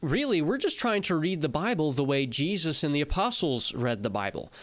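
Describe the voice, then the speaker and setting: A man with a fairly high pitch speaks at a very fast pace with very wide pitch swings, in a very clean recording with a silent background. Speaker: podcast co-host. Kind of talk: casual theological discussion.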